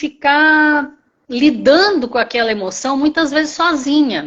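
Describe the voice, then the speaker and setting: A woman talks with lively intonation. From Brazil, Campinas (São Paulo state). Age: 60s. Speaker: retired teacher, program participant. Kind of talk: testimony. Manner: halting.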